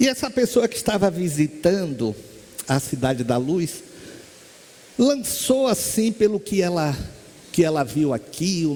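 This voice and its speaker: Over noticeable background noise, a high-pitched man speaks at a fairly slow pace with very wide pitch swings. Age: 60s. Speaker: spiritist lecturer and medium. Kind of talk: spiritist lecture.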